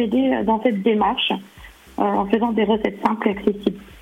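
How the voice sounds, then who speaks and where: Fairly quick speech from a woman, noticeable background noise underneath. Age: 40s. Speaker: sophrologist and cooking blogger. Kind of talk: radio interview. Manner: hesitant, many fillers.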